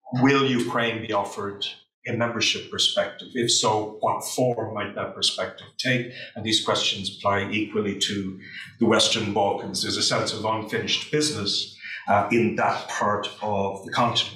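There is audible room echo and light background noise as a man talks with fairly even intonation. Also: moderate pace. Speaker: panel chair. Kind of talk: opening remarks introducing a panel. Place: classroom.

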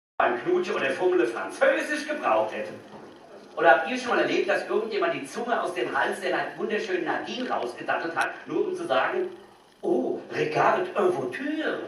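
Light background noise under a man's voice, with clear room echo. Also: moderate pace. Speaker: stand-up comedian. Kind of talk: stand-up comedy. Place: stage.

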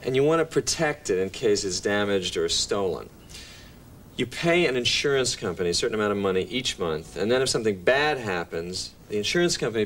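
A man talks at a fairly quick pace with very wide pitch swings over light background noise. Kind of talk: scripted sitcom dialogue. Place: kitchen.

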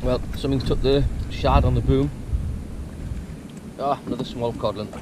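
Against clear background noise, a man speaks at a moderate pace and medium pitch with fairly even intonation.

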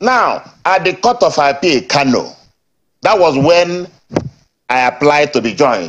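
A man with a Nigerian accent. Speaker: party politician. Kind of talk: heated debate. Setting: remote live link. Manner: loud. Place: studio.

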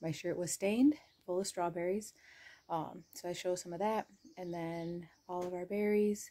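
At a moderate pace, a woman talks in a normal speaking voice with a fairly low pitch and ordinary pitch variation. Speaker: homestead vlogger. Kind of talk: casual vlog chat. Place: home room. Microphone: phone near.

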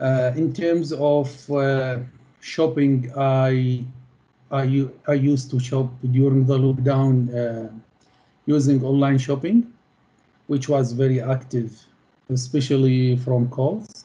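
In an Arabic accent, a man with a medium-pitched, dark, mellow, somewhat breathy voice speaks at a very slow pace with long, frequent pauses, fairly even intonation and very even loudness. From Middle East. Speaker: postgraduate student; interviewee. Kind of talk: interview. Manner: halting. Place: home room. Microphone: video call.

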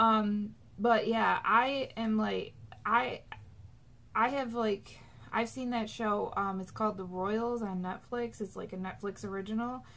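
The speaker talks at a fairly slow pace. Their intonation stays fairly even. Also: woman, fairly high pitch for a woman. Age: 20s. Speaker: YouTuber; vlogger. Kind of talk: casual vlog monologue. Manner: chatty, many fillers. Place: home room. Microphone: webcam.

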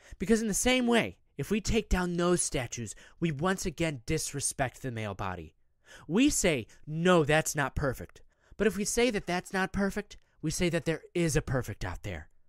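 A man speaks with a fairly high pitch and very wide swings in it. The recording is very clean, with a silent background. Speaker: meditation guide. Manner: conversational, wry, gently humorous.

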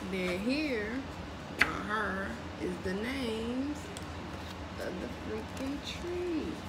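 Loud background noise fills the clip. Through it, a woman talks at a very slow pace. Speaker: unboxing vlogger. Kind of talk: casual vlog chat. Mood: excited, playful. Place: kitchen. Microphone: phone near.

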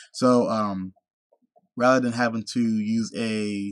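A man with an American accent, in a dry sound with no echo and a quiet background. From United States. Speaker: vlogger. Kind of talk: casual vlog monologue. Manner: soft-spoken; halting, many filler words. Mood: discouraged, reflective. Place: home room. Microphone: webcam.

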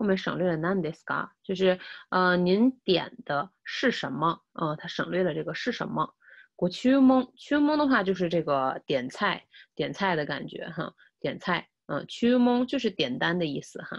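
A woman's pitch swings very widely, heard over a quiet background. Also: moderate pace. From China. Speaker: Japanese language teacher. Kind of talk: lecture. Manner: repetitive, with many filler sounds. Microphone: webcam.

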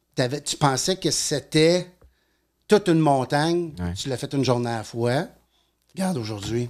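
Delivered at a fairly slow pace over a quiet background, the voice has lively intonation. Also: man. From Quebec. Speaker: addiction therapist and NLP coach. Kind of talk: casual interview. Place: studio. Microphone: studio mic.

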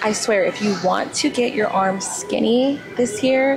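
Clear music sounds behind the speaker. She, a woman, talks very slowly. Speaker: fitness vlogger. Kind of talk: casual vlog chat. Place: gym.

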